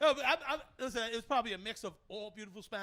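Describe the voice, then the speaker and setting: A man's raised, projected voice with a bright, sharp tone and a Brooklyn accent. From New York, Brooklyn. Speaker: podcast host. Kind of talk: casual chat. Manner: animated.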